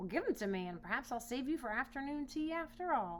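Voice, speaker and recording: With clear background noise behind her, a woman rattles off lines very fast in a high-pitched, put-on character voice. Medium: read story.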